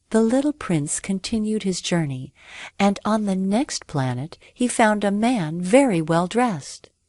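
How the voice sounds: The reading sounds natural. Its pitch moves in a lively way.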